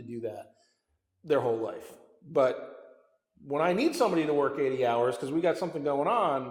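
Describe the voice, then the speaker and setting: Audible room echo surrounds the voice. A man speaks at a very fast pace. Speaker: company CEO. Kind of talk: interview conversation. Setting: winery barrel room. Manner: loud; repetitive, halting restarts.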